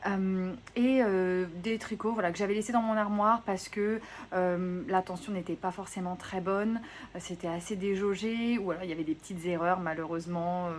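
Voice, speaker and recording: Here a woman speaks at a moderate pace in a medium pitch. Her pitch varies in an ordinary way. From southwest France, Gironde. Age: 30s. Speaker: knitting podcaster. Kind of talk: casual vlog chat. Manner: hesitant, many fillers.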